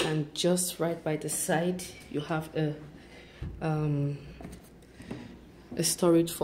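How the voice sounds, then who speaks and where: A woman speaks at a very slow pace in a very deep, low pitch with a dark, mellow tone and monotone, flat intonation. Her voice is somewhat breathy over light background noise. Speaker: vlogger touring an apartment. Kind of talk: casual vlog chat. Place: bathroom. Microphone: phone near.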